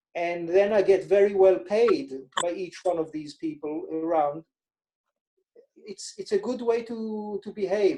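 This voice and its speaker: A man's high, dark and mellow voice in an Israeli accent, at a moderate pace with ordinary pitch variation. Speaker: financial advisor. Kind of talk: interview.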